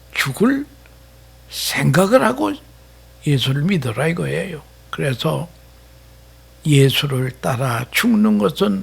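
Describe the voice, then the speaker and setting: A man speaks at a very slow pace, his fairly high pitch swinging very widely. His voice is somewhat breathy, broken by long, frequent pauses. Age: 80s+. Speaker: retired pastor. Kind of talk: sermon.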